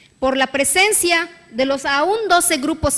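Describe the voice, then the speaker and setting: A woman at a very slow pace, extremely high in pitch, with ordinary pitch variation. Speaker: state legislator. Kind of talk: parliamentary speech. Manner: formal.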